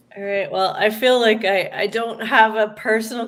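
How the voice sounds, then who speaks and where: A woman speaks with a Canadian Maritime accent. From Annapolis Valley, Nova Scotia. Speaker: author. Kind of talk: casual chat.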